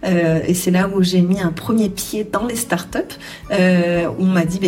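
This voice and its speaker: A woman at medium pitch with fairly even intonation and a fairly slow pace, with audible room echo and noticeable background noise. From southwestern France (Charente, rural). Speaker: HR entrepreneur and coach. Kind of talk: interview. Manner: halting, many fillers.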